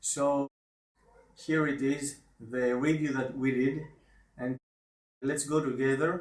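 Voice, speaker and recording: With a non-native accent, a man speaks very slowly in a fairly high voice with fairly even intonation. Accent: foreign accent, self-described as awful. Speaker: online marketer. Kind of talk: video review. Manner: halting.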